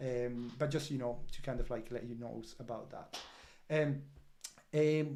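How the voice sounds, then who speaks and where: A man speaks slowly, at a fairly slow pace, in a medium-pitched voice with a dark, mellow tone and a non-native accent. His intonation is monotone and flat, and audible room echo is present. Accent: non-British, foreign. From Italy. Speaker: crypto project representative. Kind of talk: project update livestream. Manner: halting, many fillers.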